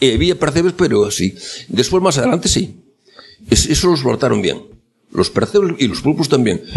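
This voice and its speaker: A man at a fairly quick pace, with very wide pitch swings and long, frequent pauses. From Galicia, Arteixo (A Coruña). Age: 80s+. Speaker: elderly villager telling life story. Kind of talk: oral history interview. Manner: halting.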